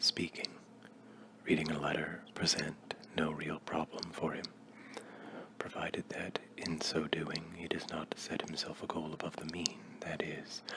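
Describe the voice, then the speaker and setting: Noticeable background noise surrounds a man who whispers. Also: fairly slow pace. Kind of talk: ASMR reading. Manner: soft-spoken.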